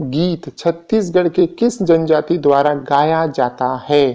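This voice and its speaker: Over a quiet background, a man speaks with lively intonation in a fairly high pitch and a dark, mellow tone. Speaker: exam-prep teacher. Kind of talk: exam revision lecture.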